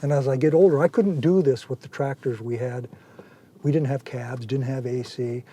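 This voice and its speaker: Speaking with an American accent, a man's dark, mellow, somewhat breathy voice sits at medium pitch with ordinary pitch variation and a moderate pace. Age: 70s. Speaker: farmer. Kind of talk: casual explanation on farm tour.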